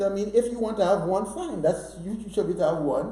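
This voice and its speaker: Noticeable background noise and audible room echo surround a man with a high pitch. He speaks in an animated tone at a moderate pace, with ordinary pitch variation. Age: 60s. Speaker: author. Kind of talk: interview.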